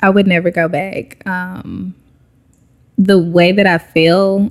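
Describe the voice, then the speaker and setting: A woman with an American accent speaks at a fairly low pitch in a monotone, flat intonation. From Texas, Dallas-Fort Worth. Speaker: yoga teacher and entrepreneur. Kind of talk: casual interview. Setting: at guest's home, dog present.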